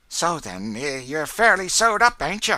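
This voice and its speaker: A man puts on a character voice in a rural Southern US accent, high-pitched, shaky and raised to project. His pitch swings very widely at a moderate pace. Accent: rural American Southern dialect. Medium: read story. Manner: sly, sniggering.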